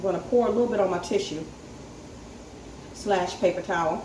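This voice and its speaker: A woman with an American accent at a fairly quick pace, fairly even intonation, audible room echo and noticeable background noise. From North Carolina. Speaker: home canning vlogger. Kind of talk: tutorial. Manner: casual, hesitant with frequent ums.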